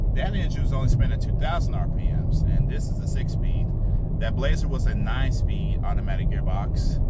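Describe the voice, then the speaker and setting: Amid noticeable background noise and audible room echo, a man talks at a fairly quick pace with very even loudness. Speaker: car reviewer. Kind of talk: casual vlog review. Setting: car showroom. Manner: quiet, low voice.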